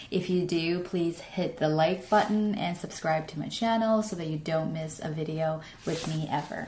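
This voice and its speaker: Amid noticeable background noise and audible room echo, a woman with a fairly low pitch talks with fairly even intonation and hardly any pauses. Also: moderate pace. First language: Chinese. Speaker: English learning youtuber. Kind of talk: tutorial. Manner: halting with fillers.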